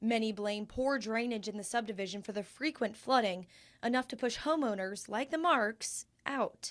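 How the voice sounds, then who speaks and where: On a very clean recording with a silent background, a woman speaks at a moderate pace and a fairly high pitch with ordinary pitch variation, in an unremarkable speaking voice. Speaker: TV news reporter. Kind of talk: TV news reporting, on-location report.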